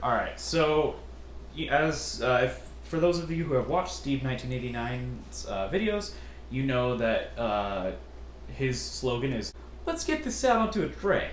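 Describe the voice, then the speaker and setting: A man talks at a moderate pace with noticeable background noise and audible room echo. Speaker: MRE ration reviewer, youtuber. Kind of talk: casual Q&A chat.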